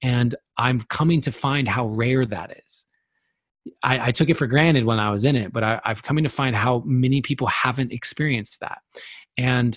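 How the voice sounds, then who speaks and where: With ordinary pitch variation, a man talks at a moderate pace, his medium-pitched voice somewhat breathy. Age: 30s. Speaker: poet and personal development speaker. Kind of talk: casual chat.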